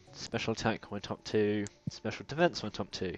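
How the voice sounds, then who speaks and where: With a British accent, a man speaks at a medium pitch and moderate pace, with ordinary pitch variation. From Britain. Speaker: let's play gamer. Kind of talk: casual gameplay commentary.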